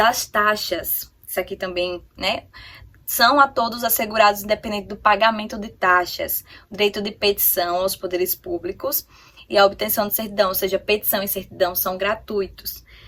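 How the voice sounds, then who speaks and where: Bright and sharp in tone, a woman speaks at a fairly slow pace with fairly even intonation. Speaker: exam-prep youtuber. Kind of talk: tutorial. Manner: halting.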